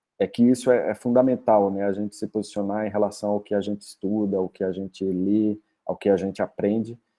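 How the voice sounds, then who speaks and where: A man with a Brazilian accent speaks in a dark, mellow tone with fairly even intonation. The sound is dry and close, with no echo. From Brazil, Northeast (Rio Grande do Norte, Paraíba). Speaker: doctoral researcher. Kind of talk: academic lecture. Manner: halting, many fillers.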